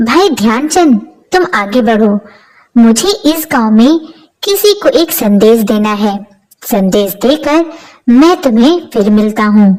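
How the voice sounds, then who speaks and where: Using a put-on character voice, a woman speaks at a fairly slow pace in a fairly high pitch, with very wide pitch swings and very even loudness. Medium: read story. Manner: calm, courteous.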